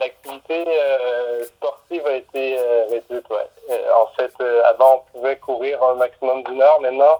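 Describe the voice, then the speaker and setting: A man with a Quebec accent speaks at a very slow pace in a medium pitch. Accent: Québécois. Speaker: musician. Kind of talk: casual interview. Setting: phone call. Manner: halting.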